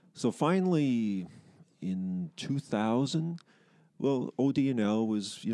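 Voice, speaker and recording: A man with a dark, mellow tone. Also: quiet background. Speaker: long-time company employee and sports referee. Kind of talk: interview.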